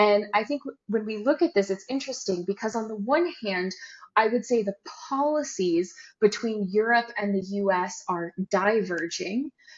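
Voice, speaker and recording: Using an unremarkable speaking voice, a woman with an American accent talks at a moderate pace, her fairly high pitch moving with lively intonation. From United States. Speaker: trade compliance consultant, company co-founder. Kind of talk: podcast interview.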